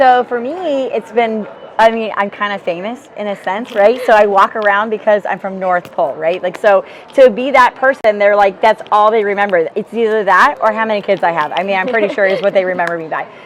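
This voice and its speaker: Over noticeable background noise, a woman with a medium pitch and an energetic tone talks fairly quickly with ordinary pitch variation. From rural Alaska. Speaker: business field leader. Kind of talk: interview. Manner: loud, energetic.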